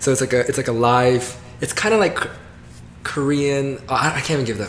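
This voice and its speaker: A man with an American accent, medium in pitch, fairly quick in pace, with ordinary pitch variation and music in the background. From US South, Georgia. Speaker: comedian. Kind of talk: casual interview chat.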